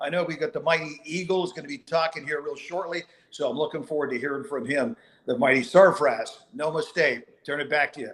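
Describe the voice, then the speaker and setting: A man talks fairly quickly in a normal speaking voice, fairly high in pitch with ordinary pitch variation. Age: 60s. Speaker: company co-founder. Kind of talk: motivational speech.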